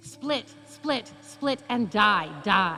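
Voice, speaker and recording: Clear music plays behind a female-sounding, put-on character voice that is guttural and medium-pitched. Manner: menacing, lashing out.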